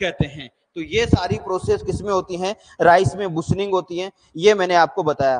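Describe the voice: With few pauses, a man talks at a moderate pace. His pitch is high, with ordinary pitch variation.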